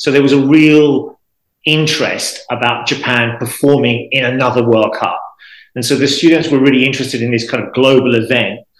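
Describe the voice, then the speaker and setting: Here is a man with an unremarkable speaking voice and a fairly high pitch. He moves at a fairly quick pace with ordinary pitch variation. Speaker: football language podcaster. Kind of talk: interview.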